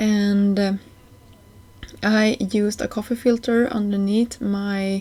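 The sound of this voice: A woman speaks slowly at a medium pitch, with a dark, mellow tone and little pitch movement.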